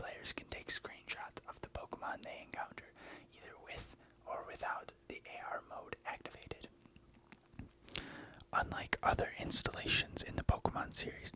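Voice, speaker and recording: Whispering with long, frequent pauses over noticeable background noise. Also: moderate pace. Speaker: ASMR creator. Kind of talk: whispered reading of a Wikipedia article. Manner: whispered.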